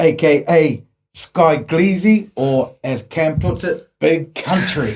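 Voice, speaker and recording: With a New Zealand accent, a man speaks at a fairly high pitch with ordinary pitch variation. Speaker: podcast host. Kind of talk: casual chat.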